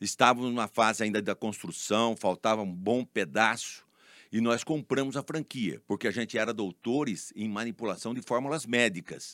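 A male voice at medium pitch, an unremarkable speaking voice with ordinary pitch variation and moderate pace, on a very clean recording with a silent background. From São Paulo state, Brazil (Leme/Araras area). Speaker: pharmacist and business owner. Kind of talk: interview.

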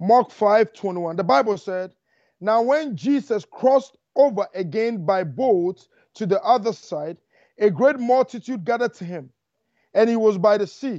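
A man with a high voice speaks at a fairly slow pace in an animated tone, his intonation lively and his loudness swinging widely. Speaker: evangelist. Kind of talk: sermon.

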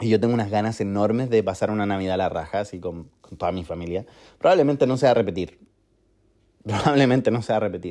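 In a Chilean accent, a man speaks at a very fast pace with a fairly low pitch and a dark, mellow tone. The background is quiet. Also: ordinary pitch variation. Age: 20s. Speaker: podcaster. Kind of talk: personal monologue. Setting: recording alone at home.

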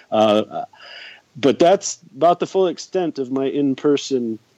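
A man with a Northern US accent speaks at a fairly slow pace in a fairly high pitch, his dark, mellow tone and lively intonation captured in a dry, close sound with no echo. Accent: American, northern US. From US, upstate New York (Rochester area). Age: 50s. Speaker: soccer fan guest. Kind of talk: casual podcast interview.

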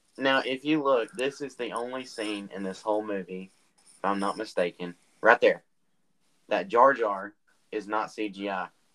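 With a bright, sharp tone and a fairly low pitch, a man speaks at a fairly slow pace, using ordinary pitch variation and long, frequent pauses. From US South. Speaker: podcast host. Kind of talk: casual chat.

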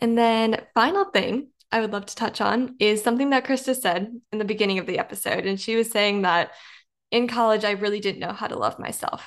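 A woman with an unremarkable speaking voice, fairly high pitch, fairly even intonation and a fairly quick pace against a quiet background. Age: young. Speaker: podcast host. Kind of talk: interview.

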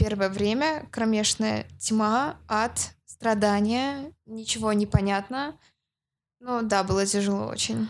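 Very slowly, a woman speaks. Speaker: marketer. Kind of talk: casual interview.

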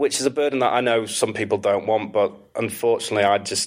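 A man with a Manchester accent, very fast, with fairly even intonation. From northern England, Manchester area. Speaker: AI specialist. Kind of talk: interview conversation.

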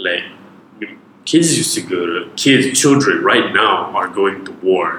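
Over noticeable background noise, a man with a medium-pitched voice talks at a fairly slow pace, his pitch swinging very widely. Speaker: podcast guest. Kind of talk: casual chat. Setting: home studio. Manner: mumbly.

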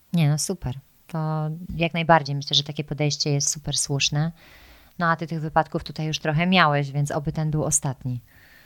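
Fairly quick and monotone, with flat intonation, a woman speaks at a very deep, low pitch on a very clean recording with a silent background and a dry, close sound with no echo. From Poland. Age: 30s. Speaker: podcast host. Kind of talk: casual interview conversation. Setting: in-person at guest's home.

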